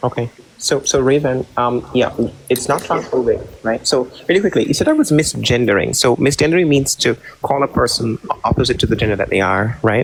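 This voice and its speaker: Noticeable background noise sits behind a man speaking at a fairly quick pace. His voice is medium in pitch and very even in loudness. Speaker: online debater. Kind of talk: heated debate. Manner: monotone.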